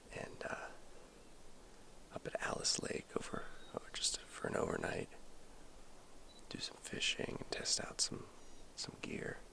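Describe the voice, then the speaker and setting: Whispering at a fairly slow pace with long, frequent pauses, a man is heard over noticeable background noise. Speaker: outdoor vlogger. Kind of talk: casual vlog narration. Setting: outdoors by a lake.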